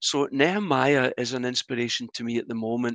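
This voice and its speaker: Recorded with a dry, close sound, no echo and a quiet background, a man with a Glasgow accent speaks at a medium pitch in a bright, sharp tone. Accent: Scottish (Glasgow). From Scotland, Glasgow. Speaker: church minister. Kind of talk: interview conversation.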